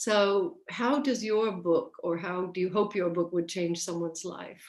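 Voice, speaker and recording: This woman has a plain, everyday voice at a medium pitch, speaking at a fairly slow pace with ordinary pitch variation. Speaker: interview host. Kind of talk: friendly video interview host.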